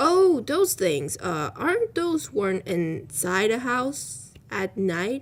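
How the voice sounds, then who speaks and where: Putting on a character voice, a woman speaks at a very slow pace with a medium pitch and very wide pitch swings. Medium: read story. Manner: casual, cheeky.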